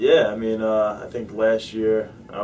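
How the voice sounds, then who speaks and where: A man speaks with flat, monotone intonation. Noticeable background noise and audible room echo surround his voice. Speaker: mixed martial arts fighter. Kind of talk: interview. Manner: casual, halting with fillers.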